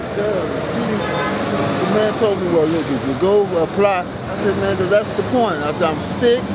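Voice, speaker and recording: A man with a high pitch speaks at a fairly slow pace amid audible room echo and noticeable background noise. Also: ordinary pitch variation. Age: 60s. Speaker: homeless man interviewed on the street. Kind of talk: casual street interview. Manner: halting.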